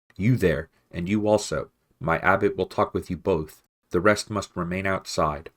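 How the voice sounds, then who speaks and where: A man puts on a character voice with very deep, low pitch. He goes at a moderate pace. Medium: read story.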